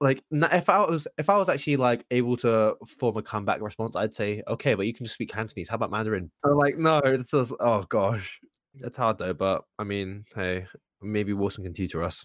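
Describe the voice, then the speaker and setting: A man speaks with an unremarkable speaking voice at a medium pitch and a fairly quick pace. His intonation is lively, and the sound is dry and close with no echo. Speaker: podcast co-host. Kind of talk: casual chat.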